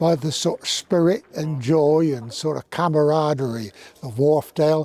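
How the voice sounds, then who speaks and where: This man's voice sits at a fairly high pitch with ordinary pitch variation. He speaks at a fairly slow pace. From Somerset, southwest England. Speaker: former teacher and rugby club stalwart. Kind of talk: interview reminiscence.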